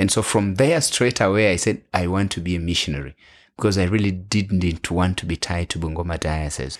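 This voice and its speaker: Very deep and low, a man's voice carries a Kenyan accent and ordinary pitch variation. The recording is very clean, with a silent background and a dry, close sound with no echo. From western Kenya. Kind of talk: interview.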